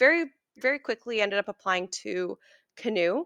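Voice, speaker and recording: A woman with an Ontario accent speaks at a moderate pace in a fairly high pitch, her bright, sharp tone carrying lively intonation in a dry, close sound with no echo. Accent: Canadian (Ontario). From Ontario, Canada (Oakville). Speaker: chef. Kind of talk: casual interview. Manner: animated.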